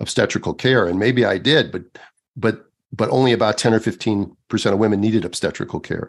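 A man with an American accent talks at a fairly quick pace. His pitch is fairly low, his intonation fairly even, an unremarkable speaking voice. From United States. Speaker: obstetrician. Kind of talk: podcast interview.

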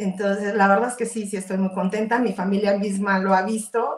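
At a moderate pace, a woman speaks in a somewhat breathy, medium-pitched voice with flat, monotone intonation. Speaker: entrepreneur. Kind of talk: interview.

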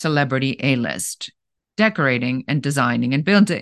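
A woman with a slight German accent speaks in a very deep, low voice with lively intonation. The sound is dry and close with no echo, and the background is quiet. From Germany. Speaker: business coach. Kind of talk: interview.

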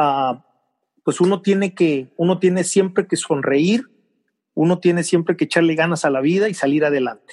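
The background is quiet. A man talks in a high voice. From Mexico, Veracruz. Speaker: TV journalist. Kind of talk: casual interview.

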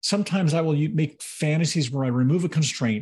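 Against a quiet background, a man with a fairly high pitch talks at a very fast pace, somewhat breathy, with ordinary pitch variation. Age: 50s. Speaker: podcast co-host. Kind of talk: casual chat.

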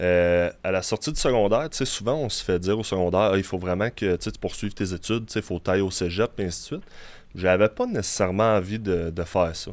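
A man with a Quebec accent talks at a fairly low pitch and a fairly quick pace. The recording is very clean, with a silent background. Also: ordinary pitch variation. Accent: Québécois French. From Quebec City. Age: 20s. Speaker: bodybuilder. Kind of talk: interview. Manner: halting.

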